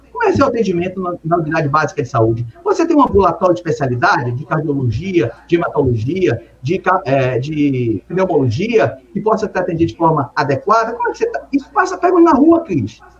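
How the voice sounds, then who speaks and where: A man's high-pitched voice at a fairly quick pace, with very wide pitch swings, hardly any pauses and noticeable background noise. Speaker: city councillor and mayoral pre-candidate, emergency doctor. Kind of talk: political interview. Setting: live stream interview.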